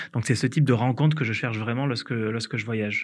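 Against a quiet background, a man speaks at medium pitch with fairly even intonation. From southern France, Hérault valley (Occitanie). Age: 30s. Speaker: entrepreneur. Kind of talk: interview testimony. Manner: hesitant with fillers.

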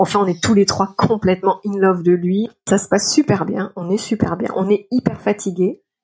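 A woman with an ordinary speaking voice talks at a moderate pace, her medium pitch carried by fairly even intonation. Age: 40s. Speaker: freelance art director and writer sharing a personal story. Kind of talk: personal testimony.

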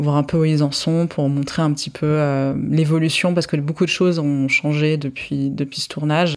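Her pitch is very deep and low, and this woman's intonation is monotone and flat. She keeps a moderate pace with hardly any pauses. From France (Paris), Israeli parents. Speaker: sociologist and author. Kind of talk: interview. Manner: hesitant, many fillers.

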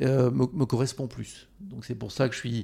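A man's dark, mellow voice at a medium pitch. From France, Haute-Corrèze. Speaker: pedicure expert and brand founder. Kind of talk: interview.

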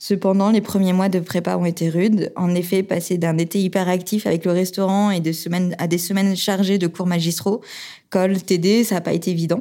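A woman with a dark, mellow tone speaks at a medium pitch and moderate pace in a monotone, flat intonation, in a very clean recording over a silent background. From Toulouse, southern France. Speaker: engineer, regional manager in EV charging. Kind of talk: interview, personal career story. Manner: hesitant, with fillers and repetitions.

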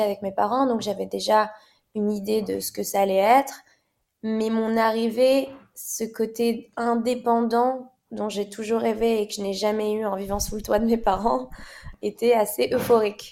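With a normal speaking voice, a woman of fairly high pitch speaks at a moderate pace with fairly even intonation. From Morocco. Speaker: fashion model. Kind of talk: interview conversation.

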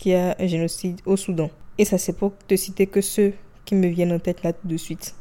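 Her dark, mellow tone comes at a fairly low pitch for a woman, with monotone, flat intonation at a moderate pace. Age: 20s. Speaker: solo podcast host. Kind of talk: personal monologue.

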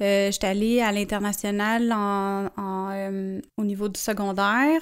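The recording is very clean with a silent background as a woman speaks at a fairly high pitch. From Quebec, Montreal (Saint-Henri). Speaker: podcaster and entrepreneur. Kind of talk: interview. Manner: casual, colloquial.

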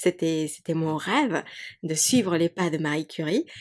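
A woman's fairly low-pitched, animated voice with a Spanish accent, on a very clean recording with a silent background. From Mexico. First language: Spanish (speaking French). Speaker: yoga teacher and podcaster. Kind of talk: casual chat.

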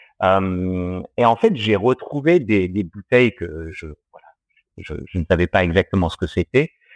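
A man speaks very slowly, his intonation lively and full of movement. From Australia. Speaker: distiller. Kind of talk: interview. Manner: halting, many fillers.

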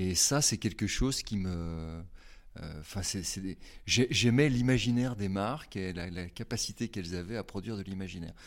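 At a moderate pace, a man speaks with fairly low pitch and ordinary pitch variation in a very clean recording with a silent background. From France, Haute-Savoie. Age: 50s. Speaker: communication agency director. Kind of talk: interview, reflective career talk. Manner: hesitant, many fillers and repetitions.

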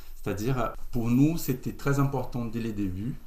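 Audible room echo surrounds this man's voice. He speaks at a medium pitch with ordinary pitch variation. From Brazil. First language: Portuguese (speaking French). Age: 30s. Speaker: co-founder of an ethical e-commerce platform. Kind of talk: casual interview.

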